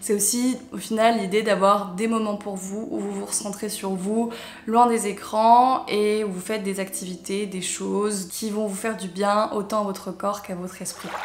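A woman speaks at a moderate pace in a monotone, flat intonation, with audible room echo and light background noise. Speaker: lifestyle youtuber. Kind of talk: casual advice vlog. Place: home room.

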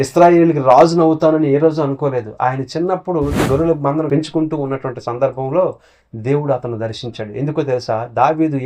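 Intonation is fairly even. A dark, mellow tone comes through. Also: man. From Srikakulam district, Andhra Pradesh, India. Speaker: pastor. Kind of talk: sermon; testimony.

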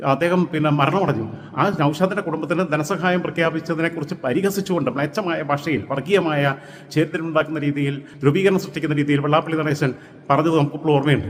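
A man with a fairly high pitch, over noticeable background noise. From Kerala, Malappuram district (Manjeri). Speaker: political commentator. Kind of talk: political monologue. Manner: animated.

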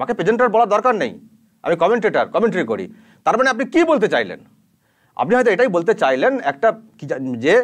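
This man's pitch is high. It moves in very wide swings. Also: quiet background. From West Bengal, Arambagh area (Hooghly); West Bengal, India. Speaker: YouTube news channel anchor, journalist. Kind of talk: direct-to-camera rebuttal commentary. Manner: animated, indignant. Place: studio. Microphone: lapel.

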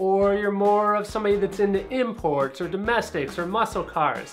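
At a moderate pace a man speaks while music plays faintly in the background. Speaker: car audio channel host. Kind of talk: tutorial. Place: home room.

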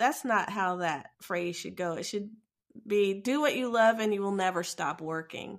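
Speaking at a moderate pace with lively intonation, a woman with an American accent uses a medium pitch on a very clean recording with a silent background. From US, Ohio. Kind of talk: interview.

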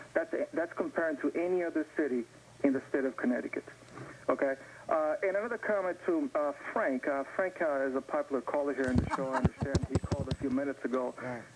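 A man talks at a very fast pace while loud background noise fills the clip. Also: fairly high pitch for a man, ordinary pitch variation. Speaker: caller. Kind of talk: call-in comment. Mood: calm, rebutting argument. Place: studio. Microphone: lapel.

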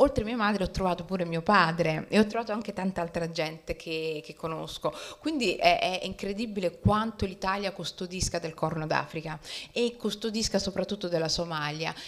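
Talking at a fairly quick pace, a woman shows ordinary pitch variation. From Rome; Italy. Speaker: novelist; guest. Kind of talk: author talk. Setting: library event with audience. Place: hall. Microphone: handheld.

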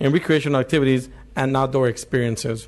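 A man talks with ordinary pitch variation. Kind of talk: formal bill presentation. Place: hall. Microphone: podium.

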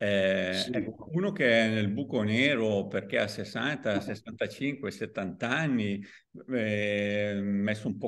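Against a quiet background, a man talks in a fairly low pitch with ordinary pitch variation. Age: 60s. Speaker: podcast host and author; podcast host. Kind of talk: interview. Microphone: video call.

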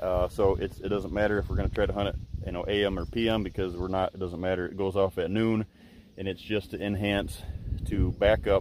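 A man with an American accent talks at a fairly quick pace in a fairly low, monotone, flat voice, with a dry sound free of echo and light background noise. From Michigan. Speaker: deer hunting video host. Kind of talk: outdoor tutorial. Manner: halting, many fillers. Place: open country. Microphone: phone near.

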